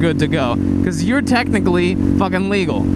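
The speech moves at a moderate pace over loud background noise, with a dry sound and no echo. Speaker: motovlogger. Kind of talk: casual vlog chat. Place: motorbike. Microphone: helmet.

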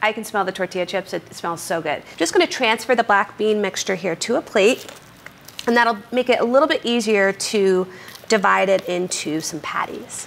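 A woman at a moderate pace with ordinary pitch variation over light background noise. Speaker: cooking show host. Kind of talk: tutorial. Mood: cheerful, playful. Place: kitchen.

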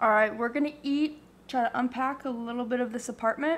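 Here is a woman with an American accent. She speaks high in pitch at a moderate pace. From Arizona. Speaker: fitness vlogger; vlogger. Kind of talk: casual vlog; casual vlog chat. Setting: in a car. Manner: animated. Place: kitchen. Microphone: phone near.

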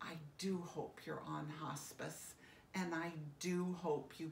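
Somewhat breathy, a woman's voice carries audible room echo over light background noise. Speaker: end-of-life educator. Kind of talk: educational talk to camera. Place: home room. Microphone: phone near.

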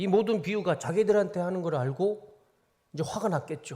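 On a very clean recording with a silent background, a man sounds somewhat breathy as he talks at a moderate pace. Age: 40s. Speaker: pastor. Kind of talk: sermon.

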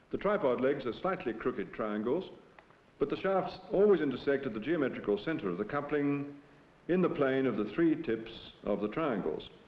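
Fairly high-pitched man at a moderate pace, lively in intonation, with audible room echo. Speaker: professor presenting film. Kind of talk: scripted educational film narration, lecture-style. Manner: formal, measured, didactic. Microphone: old recording.

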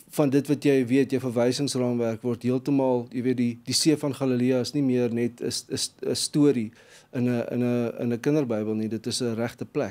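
A man's dark, mellow tone in a monotone, flat delivery. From South Africa. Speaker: gospel singer-songwriter; guest. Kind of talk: interview. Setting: studio. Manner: halting. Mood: calm, reflective. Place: studio. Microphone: studio mic.

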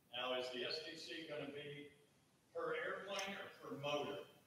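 Strong room echo surrounds a man with a fairly high pitch and a bright, sharp tone, speaking at a moderate pace with ordinary pitch variation.

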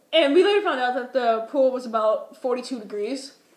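The speaker has an American accent and a moderate pace. Room echo is audible. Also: woman. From Minnesota. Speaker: vlogger. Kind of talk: casual storytelling vlog. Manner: animated.

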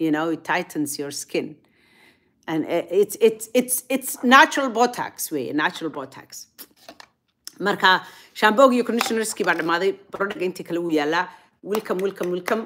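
Lively intonation from a woman at a moderate pace, with light background noise. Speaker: online show host. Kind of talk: casual vlog monologue. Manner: animated.

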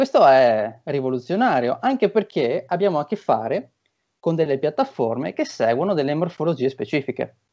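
A man's dark, mellow voice with very wide pitch swings, against a quiet background. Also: moderate pace. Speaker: marketing consultant and lecturer; speaker. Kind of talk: online seminar talk. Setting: video call. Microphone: video call.

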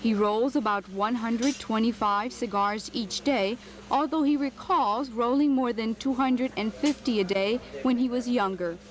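Against noticeable background noise, a woman speaks at a fairly high pitch with ordinary pitch variation and very even loudness. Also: moderate pace. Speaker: TV news reporter. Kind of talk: TV news report narration.

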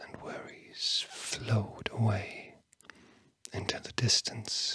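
Whispering in a soothing tone, a man is heard in a dry recording with no echo and light background noise. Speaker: ASMR host. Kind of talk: soft guided relaxation whisper. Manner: slow, sleepy, soothing whisper. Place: studio. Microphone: studio mic.

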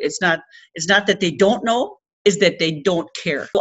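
A woman talks at a moderate pace with a quiet background behind her. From Rigolet, Labrador, Canada. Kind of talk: speech to an audience. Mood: earnest, indignant. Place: meeting room. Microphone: webcam.

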